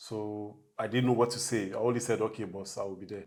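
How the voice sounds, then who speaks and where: A man speaks in a fairly low voice. His intonation is flat and monotone. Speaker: bus driver. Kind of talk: interview.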